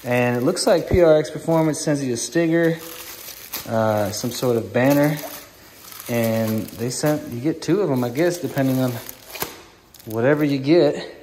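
A man talks at a moderate pace with ordinary pitch variation. There is light background noise. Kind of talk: tutorial. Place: garage. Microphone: phone near.

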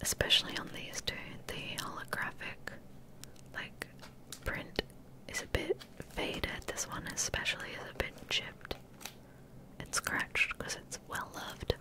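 The voice is a whisper at a fairly slow pace. Long, frequent pauses break it up. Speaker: Twitch streamer. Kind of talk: ASMR whisper rambling stream, casual talk to camera. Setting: livestream with handcam ASMR microphone. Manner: whispered, soft-spoken. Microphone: studio mic.

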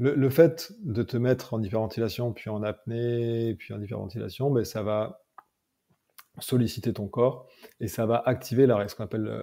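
Pitched medium with ordinary pitch variation, a man speaks at a moderate pace in a dark, mellow tone. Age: 30s. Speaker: mental coach and MMA trainer. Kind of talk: interview.

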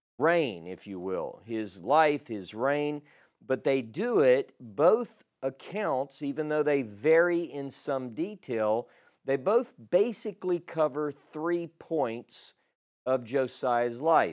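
A man speaks at a very slow pace, his pitch swinging very widely. The background is quiet. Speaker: bible teacher. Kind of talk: lecture. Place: home room. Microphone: lapel.

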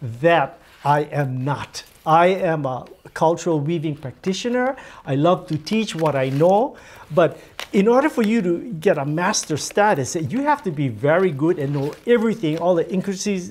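Speaking at a moderate pace, a man uses a high pitch and lively intonation. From Hawaii. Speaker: weaver. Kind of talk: demonstration talk. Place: office.

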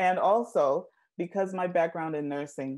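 A woman has a dark, mellow tone and ordinary pitch variation. She talks at a moderate pace against a quiet background. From Jamaica. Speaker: nurse and maternal health advocate. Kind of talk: interview answer. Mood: warm, engaged. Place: home room. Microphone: earbuds.

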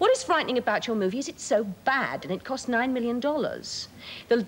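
A woman speaks at a fairly high pitch in a British accent. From England. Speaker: journalist and broadcaster. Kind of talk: heated argument on a TV panel, cutting rebuttals. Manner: icily condescending, crisp and emphatic. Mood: combative, scornful. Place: studio.

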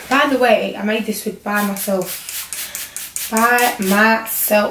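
A woman speaks at a medium pitch with a fairly bright tone. Strong room echo surrounds her voice.

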